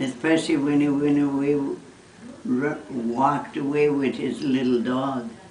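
A woman with a very deep, low pitch speaks at a fairly slow pace. Audible room echo and light background noise surround her voice. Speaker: mother recalling her son's childhood. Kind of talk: casual family conversation, reminiscing. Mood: fond, amused nostalgia. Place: home room.

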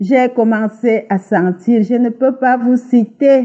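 A woman is speaking here. Her pace is very slow. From Cameroon. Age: 60s. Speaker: testimony giver. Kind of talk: testimony.

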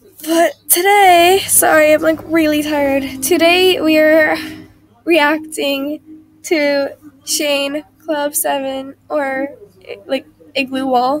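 Amid noticeable background noise, a woman with a high voice talks at a very slow pace, leaving long, frequent pauses. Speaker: YouTube reaction video creator. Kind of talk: casual vlog chat. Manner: halting.

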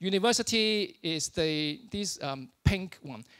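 High male pitch with a fairly bright tone and lively intonation

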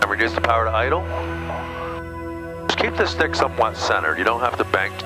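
A man talks at a very fast pace. Clear music plays behind a dry sound with no echo. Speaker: flight instructor. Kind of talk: instruction. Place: plane. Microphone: headset.

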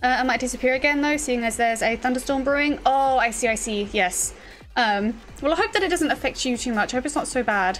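Speaking very fast in a British accent, a high-pitched woman keeps her loudness very even and her pitch variation ordinary over light background noise. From UK. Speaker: streamer. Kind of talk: casual chat. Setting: livestream. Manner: halting, many fillers. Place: home room. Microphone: studio mic.

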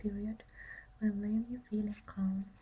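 A soft-spoken woman talks in a dark, mellow tone, somewhat breathy and flat in intonation. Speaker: ASMR creator. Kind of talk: ASMR relaxation reading. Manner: soft-spoken, whispered. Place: home room. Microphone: phone near.

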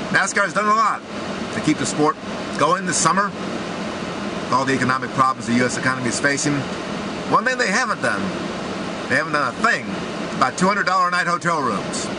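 A man at a fairly quick pace, dry sound with no echo, and loud background noise. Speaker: sports commentator. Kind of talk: commentary. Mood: indignant, critical. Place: car. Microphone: phone near.

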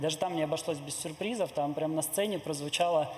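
A man at a very fast pace with fairly even intonation, audible room echo and light background noise. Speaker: event moderator. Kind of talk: moderating a public Q&A. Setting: hall with live audience. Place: hall. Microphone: handheld.

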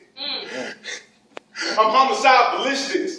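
A man speaks at an extremely high pitch with an intense tone and lively intonation. Light background noise and audible room echo are present. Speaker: spoken word poet. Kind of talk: spoken word poetry performance. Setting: live audience. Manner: intense, rhythmic. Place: hall. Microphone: camera far.

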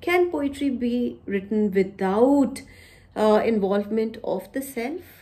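A woman with an Indian accent speaks at a very slow pace in a fairly high pitch, with lively intonation and a dark, mellow tone. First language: Punjabi. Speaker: poet and university teacher. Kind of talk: poetry reading with introductory talk. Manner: formal. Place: home room. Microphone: phone near.

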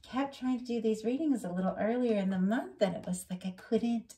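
A woman's somewhat breathy, dark, mellow voice at a moderate pace. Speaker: tarot reader. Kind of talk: tarot reading commentary. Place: home room. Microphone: phone near.

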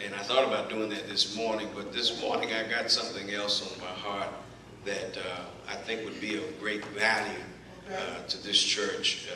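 A man with an American accent speaks at a moderate pace in a fairly low, flat monotone. Noticeable background noise and audible room echo surround his voice. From Texas. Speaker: preacher delivering a sermon. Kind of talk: sermon introduction. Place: church. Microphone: camera far.

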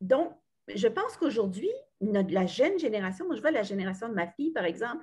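A woman's dark, mellow, somewhat breathy tone with lively intonation at a moderate pace, over a quiet background. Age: 60s. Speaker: retired radio journalist. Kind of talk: book club discussion. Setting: video call. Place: home room. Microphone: video call.

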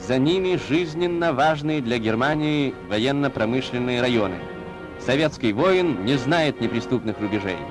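A medium-pitched man speaks at a fairly slow pace with lively intonation. Music plays in the background. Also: very even loudness. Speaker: newsreel narrator. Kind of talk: newsreel narration.

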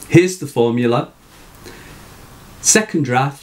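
A man speaks with pitch that swings very widely up and down. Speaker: writing tutor. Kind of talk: tutorial talk to camera. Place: home room.

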